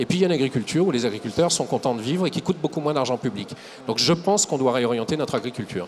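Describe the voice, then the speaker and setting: Over noticeable background noise, the speaker talks at a very fast pace with lively intonation. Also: man, medium pitch for a man. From Lyon area, France. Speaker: ecologist politician. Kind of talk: TV debate. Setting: TV set at an agricultural fair.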